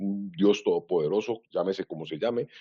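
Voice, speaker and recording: Fairly low-pitched man at a fairly quick pace. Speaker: IT governance consultant. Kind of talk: webinar presentation. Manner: fast.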